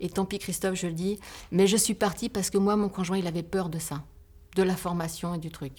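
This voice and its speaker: At a fairly quick pace, a woman talks at a medium pitch with fairly even intonation. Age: 50s. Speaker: bookbinder and entrepreneur. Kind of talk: podcast interview. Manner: halting.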